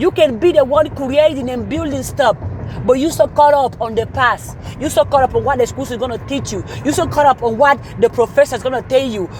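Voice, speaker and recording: A woman with a high-pitched, animated voice talks at a fairly quick pace with ordinary pitch variation over noticeable background noise. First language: not English. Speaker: motivational speaker. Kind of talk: motivational talk.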